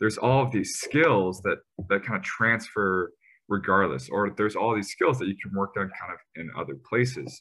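A man's fairly low voice with vocal fry, a bright, sharp tone, lively intonation and a moderate pace. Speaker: podcast host. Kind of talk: casual interview.

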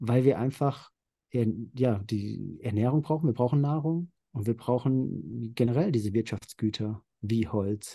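In a quiet background, a man talks at a fairly slow pace in a somewhat breathy, dark, mellow tone with ordinary pitch variation. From central Hesse, Germany. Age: 30s. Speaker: nature photographer. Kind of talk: interview.

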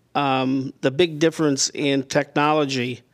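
The man's intonation stays fairly even. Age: 70s. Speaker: retired business owner, landscaping consultant. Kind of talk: casual interview. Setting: remote call. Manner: halting, many fillers.

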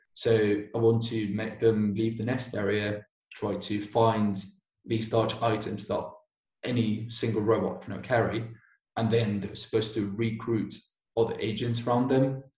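A man with a British accent speaks at a fairly slow pace with a medium pitch, a somewhat breathy voice and monotone, flat intonation. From Basque Country, Spain. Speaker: robotics master's student. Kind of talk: casual interview.

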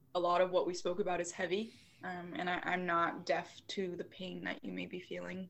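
Fairly quick, monotone speech with flat intonation and vocal fry. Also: woman, fairly low pitch for a woman. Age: 20s. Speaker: yoga teacher. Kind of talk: casual chat; guided meditation.

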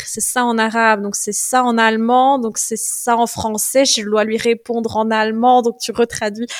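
The speech comes at a fairly slow pace in a monotone, flat intonation over noticeable background noise. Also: woman. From Belgium, Liège province. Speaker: Egyptologist and herbalist. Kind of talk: interview.

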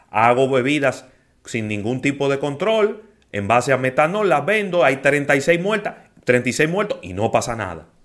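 A fairly high-pitched man at a fairly slow pace, with very wide pitch swings. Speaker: radio host. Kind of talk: radio talk show, casual discussion. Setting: radio studio.

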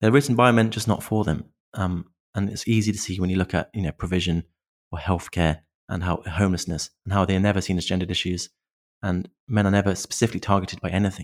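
In a British accent, a man with a very deep, low pitch speaks at a very fast pace with fairly even intonation, in a dry, close sound with no echo. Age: 30s. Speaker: men's issues content creator. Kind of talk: interview conversation. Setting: remote call.

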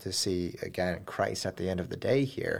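On a very clean recording with a silent background, a man with an ordinary speaking voice talks at a fairly quick pace and a fairly low pitch. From moved around, Germany and US. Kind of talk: casual interview.

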